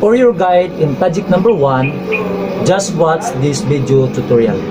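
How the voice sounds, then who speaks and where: Music plays in the background. A man talks at a fairly slow pace. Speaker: welding instructor. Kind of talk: tutorial. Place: workshop.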